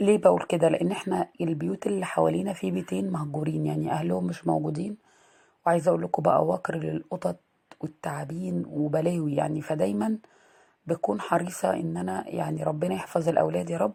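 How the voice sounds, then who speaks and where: A woman with an Egyptian accent at a fairly quick pace. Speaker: home vlogger, mother. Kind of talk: casual vlog narration. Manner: casual, conversational.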